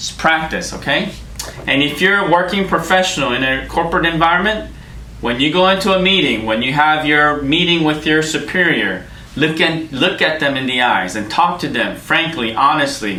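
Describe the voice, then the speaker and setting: A man with an American accent speaks at a moderate pace in a fairly high pitch, his animated tone and lively intonation carrying over audible room echo and noticeable background noise. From Korean American. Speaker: career coach giving interview advice. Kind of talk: lecture.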